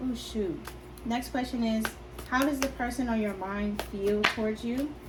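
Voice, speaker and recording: A soft-spoken woman talks at a moderate pace with a fairly high pitch. Her intonation is fairly even, and there is audible room echo. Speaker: tarot reader. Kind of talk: tarot reading. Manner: hesitant.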